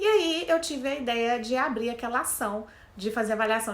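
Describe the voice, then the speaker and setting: Audible room echo surrounds a woman's voice. She has a Minas Gerais accent and a fairly high pitch. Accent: mineiro accent, noticeable. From Minas Gerais, Brazil (Belo Horizonte). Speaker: career coach, HR specialist. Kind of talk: casual talk to camera.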